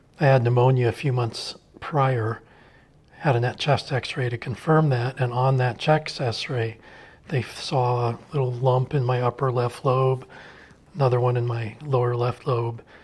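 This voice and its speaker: Here a man speaks at a fairly slow pace and a medium pitch. His voice is somewhat breathy, with monotone, flat intonation. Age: 60s. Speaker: cancer survivor. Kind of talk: testimony.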